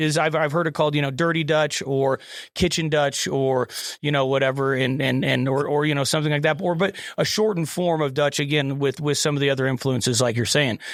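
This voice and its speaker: With an American accent and a normal speaking voice, a man speaks at a fairly high pitch, with fairly even intonation and very even loudness. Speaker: podcast host. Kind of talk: casual chat.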